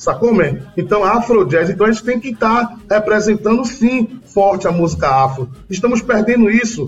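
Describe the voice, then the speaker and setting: Music plays in the background as a man talks at a moderate pace. His pitch is high and his intonation lively. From Bahia, Brazil. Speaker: singer-songwriter. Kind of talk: interview.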